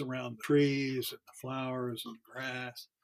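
A man's fairly high-pitched voice at a moderate pace. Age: 70s. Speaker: author. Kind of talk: interview.

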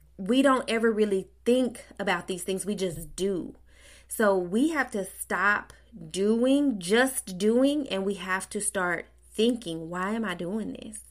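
At a very slow pace, a woman speaks with a medium pitch. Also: ordinary pitch variation. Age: 30s. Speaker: podcast host. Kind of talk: casual monologue. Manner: conversational, with laughs.

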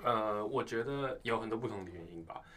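A man's unremarkable speaking voice, fairly low in pitch, with ordinary pitch variation and a moderate pace. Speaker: university student. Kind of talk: casual chat.

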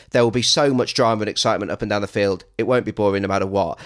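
A man speaks at a medium pitch. The recording is very clean and dry, close with no echo and a silent background. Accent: English. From England. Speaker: podcast host. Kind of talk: casual chat.

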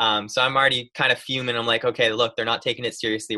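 With an American accent, a man speaks at a very fast pace. His medium-pitched delivery is monotone and flat. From upstate New York. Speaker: college goaltender. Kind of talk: casual chat.

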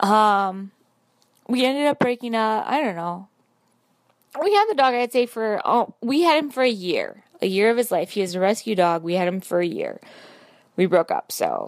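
An ordinary speaking voice moves at a moderate pace with lively intonation. The recording is very clean with a silent background. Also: woman. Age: 30s. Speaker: caller. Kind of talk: voice message.

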